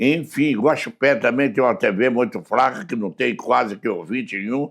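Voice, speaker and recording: On a very clean recording with a silent background, a man with an unremarkable speaking voice talks at a moderate pace, medium in pitch and lively in intonation. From southern Minas Gerais, Brazil (Muzambinho). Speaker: radio broadcaster and political aide. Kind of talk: casual interview chat.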